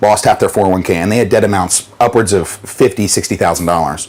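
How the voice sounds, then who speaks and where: Over noticeable background noise, a man speaks at a very deep, low pitch with fairly even intonation. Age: 30s. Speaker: debt mediation business owner. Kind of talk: interview testimony. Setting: on a yacht.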